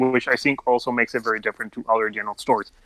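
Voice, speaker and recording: In a non-native accent, a man with a medium pitch and a bright, sharp tone speaks, the sound dry and close with no echo. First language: not English. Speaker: fan fiction writer. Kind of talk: podcast interview. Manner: halting.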